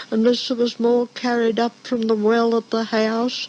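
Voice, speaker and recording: There is noticeable background noise throughout. Through it, a woman talks in a high pitch. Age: 80s+. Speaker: former dairy farm worker. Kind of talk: oral history recollection.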